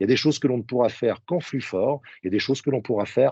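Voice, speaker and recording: Talking at a very fast pace, a man speaks at a medium pitch with ordinary pitch variation. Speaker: sales trainer. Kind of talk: webinar presentation.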